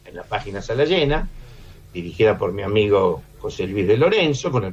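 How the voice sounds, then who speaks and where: Noticeable background noise runs through the clip. The speech comes at a fairly quick pace. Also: man. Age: 70s. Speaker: film critic and lecturer. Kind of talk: radio interview. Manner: halting.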